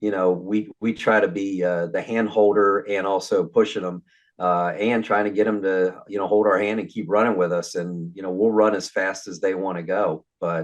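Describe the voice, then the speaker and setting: An ordinary speaking voice from a man, fairly low in pitch and moderate in pace, with hardly any pauses, fairly even intonation and a quiet background. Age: 60s. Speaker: mortgage business coach. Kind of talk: casual interview chat.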